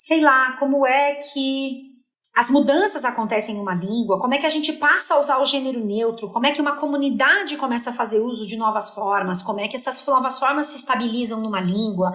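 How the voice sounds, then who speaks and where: With audible room echo, a woman speaks in an animated tone at a high pitch and fairly quick pace, with ordinary pitch variation and hardly any pauses. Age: 40s. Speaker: linguist and content creator. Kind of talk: podcast interview.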